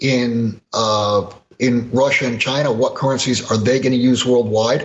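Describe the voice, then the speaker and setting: A man's somewhat breathy voice, medium pitch, fairly slow pace. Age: 60s. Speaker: precious metals commentator. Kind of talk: interview.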